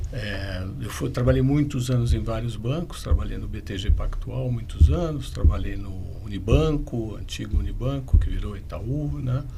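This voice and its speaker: Recorded with audible room echo and music in the background, a man speaks at a moderate pace, his loudness swinging widely. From São Paulo state, Brazil. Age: 60s. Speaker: M&A advisor and business conflict mediator. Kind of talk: podcast interview.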